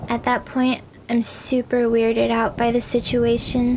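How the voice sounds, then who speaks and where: A woman speaks at a moderate pace in a high pitch. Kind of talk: ASMR horror story reading.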